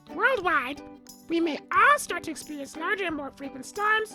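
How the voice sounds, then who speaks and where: A cartoonish character voice runs high in pitch at a fairly quick pace, with clear music in the background. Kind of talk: comedic educational narration. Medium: puppet. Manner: sarcastic, irreverent.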